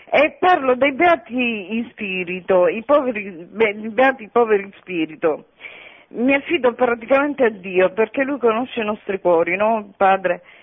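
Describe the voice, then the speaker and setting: Over noticeable background noise, the speaker keeps a moderate pace with lively intonation. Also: woman, fairly high pitch for a woman. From Sicily. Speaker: radio caller. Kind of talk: reading aloud. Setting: phone call.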